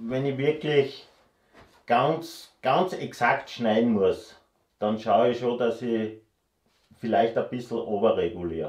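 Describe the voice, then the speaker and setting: Over a quiet background with audible room echo, a man speaks at a very slow pace with long, frequent pauses. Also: ordinary pitch variation. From Austria. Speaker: woodworker. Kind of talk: casual Q&A chat. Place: workshop.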